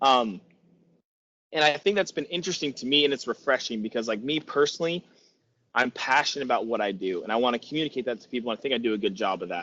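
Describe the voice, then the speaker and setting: This man talks at a very fast pace with lively intonation. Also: medium pitch for a man. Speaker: podcast host and exercise professional. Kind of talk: casual chat. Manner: fast when passionate.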